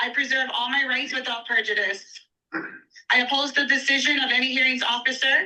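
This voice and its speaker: A woman's high-pitched voice is raised and projected, bright and sharp in tone, yet monotone and flat in intonation. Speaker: public commenter. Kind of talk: public testimony. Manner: slow.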